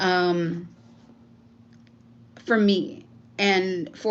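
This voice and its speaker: A woman of medium pitch speaks with audible room echo around her voice. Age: 40s. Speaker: YouTuber. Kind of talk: casual livestream monologue. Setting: live stream.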